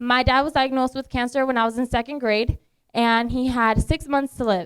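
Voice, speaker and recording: A woman with a Spanish accent speaks at a moderate pace with high pitch. Her intonation is fairly even, and the sound is dry and close with no echo. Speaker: beauty pageant contestant. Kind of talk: speech to an audience. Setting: bar and lounge event. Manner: casual, with fillers.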